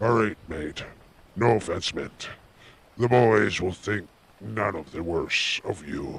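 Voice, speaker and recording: A man's put-on character voice, fairly low in pitch, fairly slow, with ordinary pitch variation and long, frequent pauses. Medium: read story.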